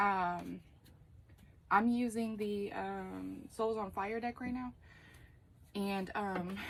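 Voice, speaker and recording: Here a woman speaks at a medium pitch with fairly even intonation. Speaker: tarot reader. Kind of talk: tarot reading monologue. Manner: slow, hesitant with many fillers.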